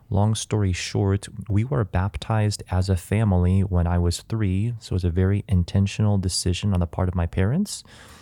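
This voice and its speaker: In an American accent, a man talks at a fairly quick pace with a very deep, low pitch and a dark, mellow tone. His intonation is fairly even and his loudness very even, in a very clean recording with a silent background. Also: hardly any pauses. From US Midwest, Chicago suburbs. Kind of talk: interview about faith.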